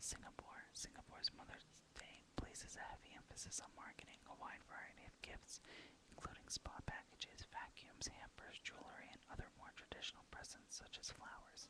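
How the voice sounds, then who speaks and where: A woman whispers at a fairly quick pace over noticeable background noise. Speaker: ASMR whisperer / video blogger. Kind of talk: whispered ASMR reading of facts. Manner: whispered, soft-spoken.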